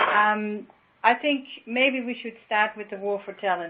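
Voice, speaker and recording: Fairly high-pitched and fairly even in intonation, a woman talks with a Dutch accent. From Netherlands. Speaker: workplace design consultant. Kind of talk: panel discussion. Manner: halting.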